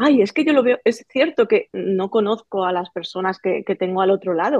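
Here a woman speaks at medium pitch. Her pace is fairly quick. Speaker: teacher and sewing creator. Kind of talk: interview. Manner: halting.

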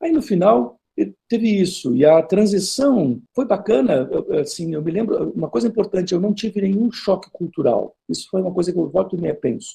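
With a slight southern Brazilian accent, a man speaks at a moderate pace in a dark, mellow tone. His pitch is high and swings very widely. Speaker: history professor. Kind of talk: interview. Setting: video call.

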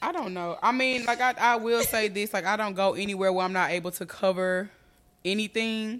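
At a fairly quick pace, an ordinary speaking voice talks with ordinary pitch variation. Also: woman, medium pitch for a woman. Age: 30s. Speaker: podcast host. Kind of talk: casual chat.

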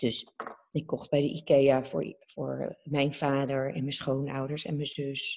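A woman's very deep, low voice with vocal fry, monotone and flat, at a fairly slow pace. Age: 30s. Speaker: TV presenter. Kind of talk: casual interview.

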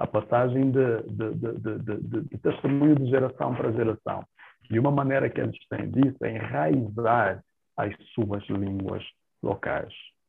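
A man talks with normal pitch movement while music can be heard behind him. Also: medium pitch for a man, fairly slow pace. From Angola. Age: 30s. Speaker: tourism professional. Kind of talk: casual interview.

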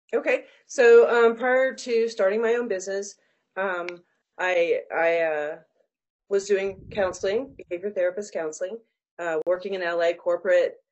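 Speaking at a fairly slow pace with lively intonation, a woman has a plain, everyday voice at medium pitch. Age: 40s. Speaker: business coach and consultant. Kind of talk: interview conversation.

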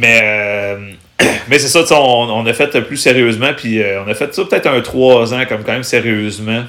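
Noticeable background noise surrounds a man speaking at a fairly slow pace. His pitch is medium, with ordinary variation. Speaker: stand-up comedian. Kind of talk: casual chat.

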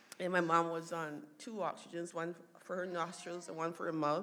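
A woman's fairly low voice with audible room echo. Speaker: daughter sharing family testimony. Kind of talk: testimony. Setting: church stage with audience. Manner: halting.

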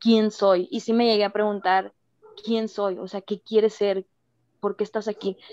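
In a dark, mellow tone, a woman speaks fairly slowly at medium pitch with monotone, flat intonation and a dry, close sound with no echo. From Mexico. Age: 20s. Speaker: former youth political worker. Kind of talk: casual chat.

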